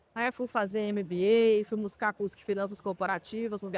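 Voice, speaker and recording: Speaking fairly quickly with a Minas Gerais accent, a woman uses a fairly high pitch and fairly even intonation, the sound dry and close with no echo. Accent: Minas Gerais (mineiro). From southwest Minas Gerais, Brazil. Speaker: healthcare company executive. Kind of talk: interview. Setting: trade fair podcast booth.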